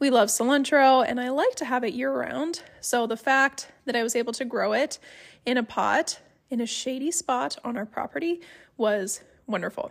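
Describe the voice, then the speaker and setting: In a Midwestern accent, a woman speaks at a moderate pace with a high pitch and lively intonation. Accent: general American, Midwestern. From Ohio, US. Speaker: homesteading podcaster. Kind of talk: solo podcast monologue, casual. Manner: conversational, friendly.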